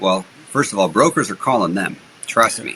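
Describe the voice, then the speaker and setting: At a moderate pace, a man talks with ordinary pitch variation over noticeable background noise. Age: 50s. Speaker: real estate investor. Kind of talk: podcast interview. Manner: conversational, with frequent fillers and restarts.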